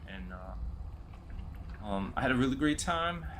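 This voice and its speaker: Using an American accent, a man with vocal fry moves his pitch through very wide swings. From New York City. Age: 40s. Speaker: video game streamer. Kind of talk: casual chat. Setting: live stream. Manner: halting.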